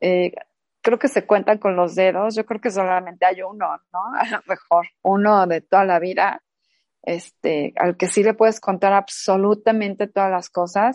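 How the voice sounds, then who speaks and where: A woman with a Mexican accent speaks at a medium pitch and a fairly slow pace, her intonation fairly even, in a dry, close recording with no echo and a quiet background. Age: 40s. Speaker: podcast co-host. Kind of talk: casual chat.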